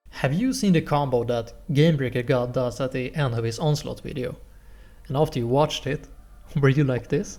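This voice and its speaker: This voice has a dark, mellow tone and a Swedish accent, sounds somewhat breathy, keeps a fairly even intonation and moves at a fairly quick pace. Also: man, medium pitch for a man. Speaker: gaming tutorial creator. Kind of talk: tutorial. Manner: casual.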